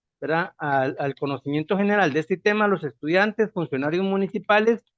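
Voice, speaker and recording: The voice shows ordinary pitch variation, recorded with a dry, close sound with no echo against a quiet background. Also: man. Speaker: university project coordinator, moderator. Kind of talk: speaker introduction.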